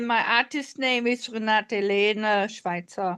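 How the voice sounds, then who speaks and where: A woman speaks at a very slow pace in a bright, sharp tone against a quiet background. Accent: non-native. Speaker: artist and musician. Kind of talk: casual chat. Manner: halting.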